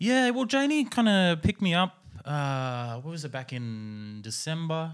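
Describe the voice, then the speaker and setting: This man speaks with an Australian accent. His pitch swings very widely. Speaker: podcast host. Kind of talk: fictional comedy podcast interview. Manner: halting.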